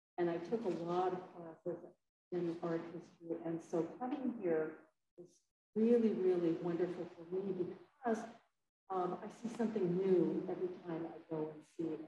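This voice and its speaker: A woman's fairly low voice at a moderate pace, with fairly even intonation, big swings in loudness, noticeable background noise, and audible room echo. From Hawaii. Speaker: poet and English professor; poet, English professor. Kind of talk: lecture with poetry reading. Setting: library event with audience. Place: hall.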